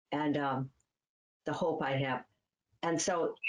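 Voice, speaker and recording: A woman speaks at a very slow pace with a Midwestern accent. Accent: American Midwest. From US Midwest, Cleveland, Ohio. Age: 80s+. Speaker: author. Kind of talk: interview.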